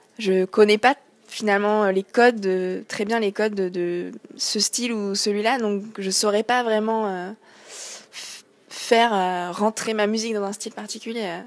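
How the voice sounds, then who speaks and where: With monotone, flat intonation, a woman talks at a fairly slow pace. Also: medium pitch for a woman, very clean recording, silent background. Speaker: singer-songwriter. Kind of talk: interview. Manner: hesitant, many fillers.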